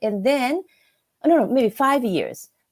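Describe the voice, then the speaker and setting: Speaking with a Japanese accent, a woman has a high pitch and a dark, mellow tone. Her pace is fairly slow. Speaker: business English instructor. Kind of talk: casual chat. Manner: halting.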